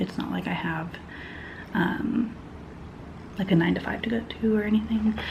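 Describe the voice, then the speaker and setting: A woman is soft-spoken. Noticeable background noise and audible room echo surround her voice. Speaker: knitting vlogger. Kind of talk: casual vlog chat. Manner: casual, hesitant with fillers.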